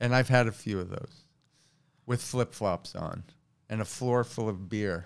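This man has a New York accent and a fairly low pitch with ordinary variation. He talks at a fairly slow pace, leaving long, frequent pauses. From New York City, Queens. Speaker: stand-up comedian. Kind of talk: casual chat.

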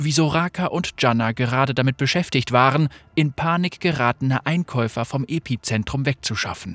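The clip features a natural reading voice. The words are read out.

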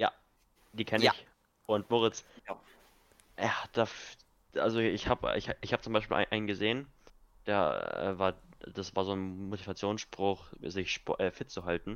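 A man speaks at a moderate pace with fairly even intonation and long, frequent pauses. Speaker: podcast co-host, youth football coach. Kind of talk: casual chat.

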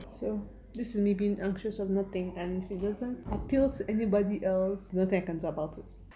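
With fairly even intonation at a medium pitch, a woman talks as noticeable background noise carries on. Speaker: podcast host. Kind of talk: casual monologue.

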